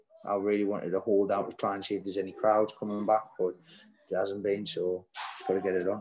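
A man rattles along at a very fast pace in a monotone, flat voice of fairly low pitch, with noticeable background noise behind him. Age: 20s. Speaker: professional boxer. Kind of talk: press interview. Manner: halting.

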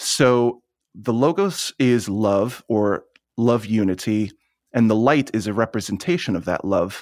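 A man has a normal speaking voice with an American accent and a medium pitch. He speaks at a fairly slow pace. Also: ordinary pitch variation. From US Northeast, Long Island, New York. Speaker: spiritual teacher and channeler. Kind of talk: interview conversation.

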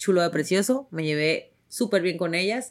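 Speaking at a moderate pace with lively intonation, a woman with a strong northern Mexican accent uses a fairly low pitch, captured on a very clean recording with a silent background. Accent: strong northern Mexican ranchero. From Tijuana, Mexico. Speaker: podcast host and actress. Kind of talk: casual chat. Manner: animated.

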